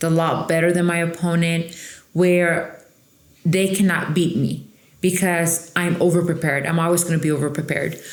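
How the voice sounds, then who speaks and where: A woman's fairly low voice with a Mexican accent, monotone, flat intonation and audible room echo. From Mexico / Coachella Valley, California. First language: Spanish. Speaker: trial lawyer. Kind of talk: interview. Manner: emphatic, confident.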